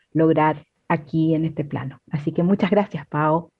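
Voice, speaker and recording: Her voice is somewhat breathy, a woman's at a fairly low pitch, moving at a fairly slow pace in a flat monotone. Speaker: co-host. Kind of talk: casual chat.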